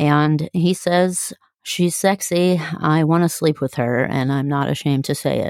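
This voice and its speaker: In a Midwestern American accent, a woman with a very deep, low pitch speaks fairly slowly and with fairly even intonation, in a very clean, dry, close recording with no echo and a silent background. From US, from early childhood. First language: German. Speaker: podcast co-host. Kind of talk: casual chat.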